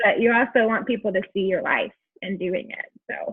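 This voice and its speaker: A woman is speaking. Her pace is moderate. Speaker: skincare sales consultant. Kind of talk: casual chat. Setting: video call. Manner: loud.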